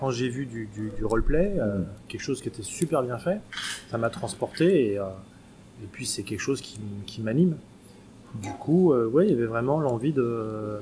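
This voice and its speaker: Pausing long and often, a man speaks at a moderate pace and medium pitch, somewhat breathy, with a dark, mellow tone and lively intonation. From France (Paris). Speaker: role-playing game association volunteer. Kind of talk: casual interview.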